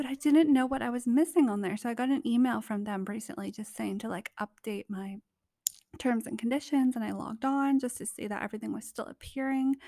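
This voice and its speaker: A woman speaks quietly in a squeaky, high voice with ordinary pitch variation, and the sound is dry and close with no echo. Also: fairly quick pace. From Canada. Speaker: podcast host. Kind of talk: casual solo podcast monologue. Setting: vacation rental abroad. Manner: soft-spoken, laid-back, giggly.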